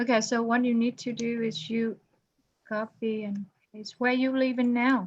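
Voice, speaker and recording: The speaker is a woman with a fairly high pitch. Her intonation is monotone and flat. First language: not English. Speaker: accounting instructor. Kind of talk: online class, one-on-one help. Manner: slow.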